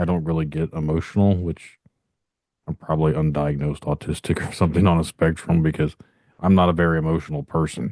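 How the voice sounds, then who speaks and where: Very deep and low in pitch, a man rushes along at a very fast pace with a dark, mellow tone and monotone, flat intonation, in a dry, close sound with no echo. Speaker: podcast host. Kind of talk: casual interview chat. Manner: monotone, even.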